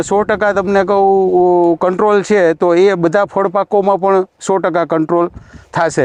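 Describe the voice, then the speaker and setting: A man's high, monotone, flat voice at very even loudness, dry and close with no echo. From Gujarat, Saurashtra (Junagadh district). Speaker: farmer. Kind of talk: product testimonial.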